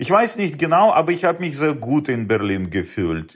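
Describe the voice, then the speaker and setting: Against a quiet background, a man talks at a fairly high pitch. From Uzbekistan. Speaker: space startup founder. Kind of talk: interview. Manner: hesitant, many fillers.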